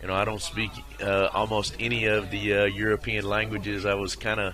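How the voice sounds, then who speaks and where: A man's fairly low-pitched voice amid noticeable background noise and audible room echo. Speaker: small business owner, shooting gear maker. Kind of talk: casual interview chat. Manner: halting, many fillers.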